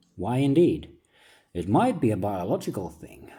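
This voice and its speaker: A man with a dark, mellow tone. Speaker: philosophical essayist. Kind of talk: reflective monologue, like reading own book.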